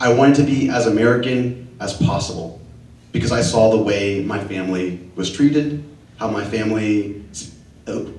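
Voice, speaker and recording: Audible room echo and noticeable background noise surround a man's fairly low voice. He speaks at a moderate pace with ordinary pitch variation. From Dallas, Texas (Oak Cliff). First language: Spanish. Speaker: LGBTQ community leader, panelist. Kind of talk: personal testimony on a panel.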